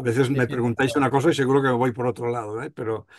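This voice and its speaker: Behind the man's voice, the background stays quiet. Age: 60s. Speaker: surgeon, association president. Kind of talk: panel discussion. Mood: reflective, conversational. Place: home room. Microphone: video call.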